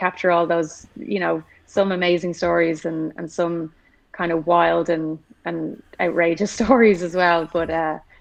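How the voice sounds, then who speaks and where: Speaking with an Irish accent, a woman with a fairly low pitch talks at a moderate pace. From Ireland. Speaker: motorsport engineer and hockey player. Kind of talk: casual chat.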